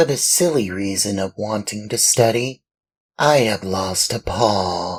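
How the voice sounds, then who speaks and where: Putting on a character voice, the man talks at a fairly low pitch and a fairly slow pace. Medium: read story. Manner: ingratiating, courteous.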